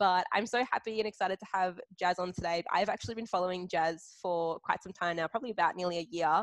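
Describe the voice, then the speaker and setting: A woman with a medium pitch talks at a very fast pace in an animated tone with hardly any pauses, the sound dry and close with no echo against a quiet background. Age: 20s. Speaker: podcast host. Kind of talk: casual chat. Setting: video call.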